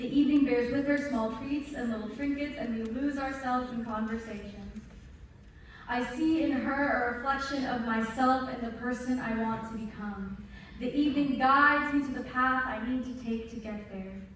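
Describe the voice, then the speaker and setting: Moderate pace and fairly even intonation in a woman's high voice. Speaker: spoken word performer. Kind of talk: spoken word poetry performance. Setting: live stage, recorded from the pit.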